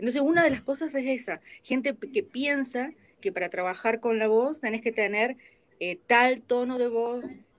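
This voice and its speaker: Speaking at a moderate pace, a woman with a Rioplatense accent uses ordinary pitch variation. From Argentina. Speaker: voice actor. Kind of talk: interview.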